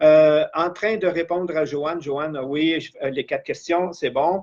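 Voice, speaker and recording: Speaking at a very slow pace, a man keeps his fairly high voice in a fairly even intonation. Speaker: life coach / trainer. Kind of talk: live-streamed training session.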